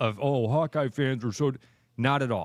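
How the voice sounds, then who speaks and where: An ordinary speaking voice from a man at medium pitch, lively in intonation, in a very clean recording with a silent background. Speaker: radio sports talk show host. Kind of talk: sports radio talk show banter.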